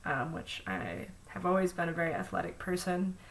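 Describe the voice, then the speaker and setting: A woman speaks with an American accent. There is audible room echo. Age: 20s. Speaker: vlogger. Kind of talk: personal vlog monologue. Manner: many fillers, hesitant.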